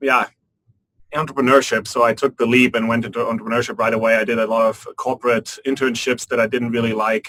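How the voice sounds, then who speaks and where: Very fast and monotone, a man speaks at medium pitch with a bright, sharp tone. The sound is dry and close, with no echo. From Germany, Frankfurt. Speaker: business school student, venture capitalist. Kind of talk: panel discussion.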